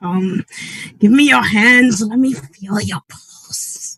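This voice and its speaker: Using a put-on character voice, the speaker goes at a very slow pace with a fairly high pitch. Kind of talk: ritual incantation. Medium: stage play. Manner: solemn, grandiose.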